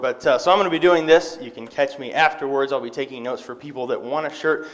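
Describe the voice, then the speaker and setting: Over noticeable background noise, a man talks at a very fast pace with fairly even intonation. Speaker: lay preacher. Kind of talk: sermon. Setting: church. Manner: casual, frequent fillers.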